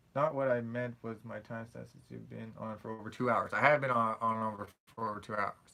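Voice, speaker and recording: Mumbling through long, frequent pauses, a man speaks at a medium pitch with fairly even intonation and a bright, sharp tone. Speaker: streamer answering viewer questions. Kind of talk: live stream Q&A chat. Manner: fast.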